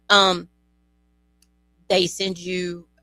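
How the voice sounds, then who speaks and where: The voice carries a Louisiana accent and a flat, monotone intonation. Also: woman. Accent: Louisiana Southern. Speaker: bereaved parent. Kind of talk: interview. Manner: halting.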